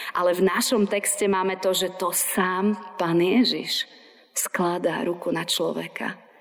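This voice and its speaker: A woman's monotone, flat delivery at a fairly slow pace, with noticeable background noise. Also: medium pitch for a woman. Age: 40s. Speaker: pastor. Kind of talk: sermon.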